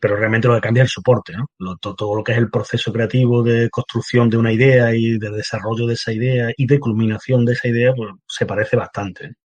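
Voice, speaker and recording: A man with a medium pitch and a somewhat breathy voice speaks very fast in a monotone, flat intonation with hardly any pauses, the sound dry and close with no echo. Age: 50s. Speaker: painter and writer. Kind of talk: interview. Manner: halting, many fillers.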